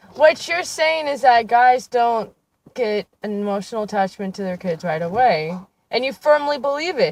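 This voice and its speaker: A woman speaks loudly at a fairly high pitch. Her pace is moderate and her pitch swings very widely. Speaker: co-host. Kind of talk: casual chat.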